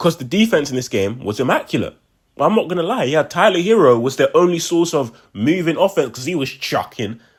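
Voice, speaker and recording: On a very clean recording with a silent background, a man with a fairly high pitch and vocal fry swings his pitch very widely at a moderate pace. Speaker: sports fan commentator on video channel. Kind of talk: casual post-game reaction monologue. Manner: animated.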